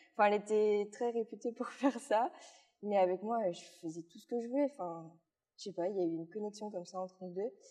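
A woman with a medium-pitched, dark, mellow voice talks at a fairly quick pace with ordinary pitch variation and big swings in loudness. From Belgium, Luxembourg province (born in Liège). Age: 19. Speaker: equine masseuse, rider and influencer. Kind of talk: casual interview.

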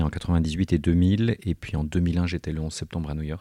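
A man speaks very slowly in a very deep, low voice with a dark, mellow tone. His intonation is fairly even, and the recording is very clean with a silent background. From southern France. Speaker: researcher in education. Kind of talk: interview. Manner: halting.

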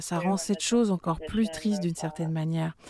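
A woman speaks at a moderate pace with ordinary pitch variation and a dark, mellow tone. The sound is dry and close, with no echo. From Manchester, England. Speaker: singer. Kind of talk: interview.

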